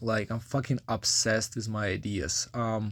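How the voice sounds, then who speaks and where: A man speaks with a Ukrainian accent at a fairly low pitch. His pace is fairly slow. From Ukraine. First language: Ukrainian or Russian. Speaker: vlogger. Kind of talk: casual vlog monologue. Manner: halting, many fillers.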